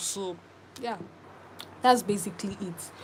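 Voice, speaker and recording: At a fairly quick pace, a woman talks with a medium pitch and ordinary pitch variation. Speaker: crochet tutorial creator. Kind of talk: live stream tutorial chat. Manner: fast.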